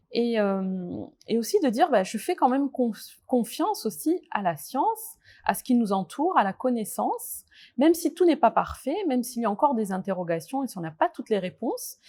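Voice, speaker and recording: Speaking at a moderate pace, a woman uses a high pitch with very wide pitch swings. The recording is very clean and the background silent. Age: 40s. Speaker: nurse. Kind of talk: testimony. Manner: hesitant, many fillers.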